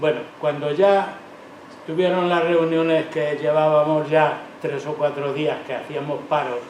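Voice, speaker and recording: At a fairly slow pace, a man talks in a fairly high pitch with monotone, flat intonation, over noticeable background noise and audible room echo. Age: 80s+. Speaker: retired factory worker. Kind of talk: testimony. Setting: public event with audience.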